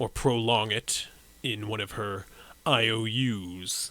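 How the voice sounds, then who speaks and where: In a put-on character voice, a man talks fairly slowly at a medium pitch. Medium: actual play. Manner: formal, measured.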